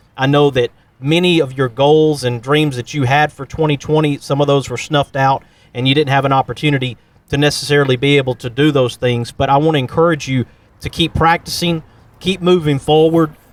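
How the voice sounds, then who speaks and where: In a Southern US accent, a man talks at a fairly quick pace with a fairly high pitch, the sound dry and close with no echo. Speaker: podcast host. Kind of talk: interview.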